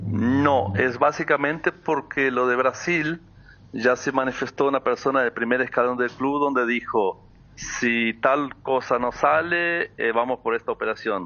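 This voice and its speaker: Speaking at a fairly slow pace, a man holds a medium pitch with ordinary pitch variation. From Brazil (born in Uruguay). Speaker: football player agent. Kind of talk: interview on sports talk show. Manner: hesitant, many repetitions.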